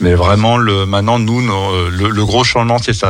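This man has an ordinary speaking voice. His pitch is fairly low, with ordinary variation. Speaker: association coordinator. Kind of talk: radio interview. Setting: studio.

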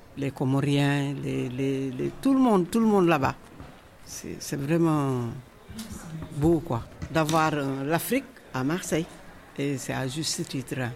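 A woman with a very deep, low voice speaks very slowly, with long, frequent pauses and ordinary pitch variation. Noticeable background noise sits behind her. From Senegal. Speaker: immigrant woman interviewee. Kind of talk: personal testimony.

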